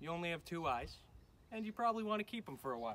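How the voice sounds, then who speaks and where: Over light background noise, a man speaks with lively intonation. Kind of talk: tutorial. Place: farm machine. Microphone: camera far.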